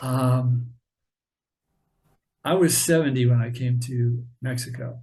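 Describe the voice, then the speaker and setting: There is audible room echo as a man speaks at a very slow pace with fairly even intonation. His tone is dark, mellow and somewhat breathy. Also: medium pitch for a man. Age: 70s. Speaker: author and artist. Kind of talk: casual interview chat. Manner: halting, many fillers.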